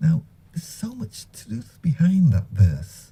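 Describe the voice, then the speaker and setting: A man with a dark, mellow tone and a somewhat breathy quality talks at a very slow pace, his pitch swinging very widely. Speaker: Islamic radio presenter. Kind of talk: religious talk on the Quran.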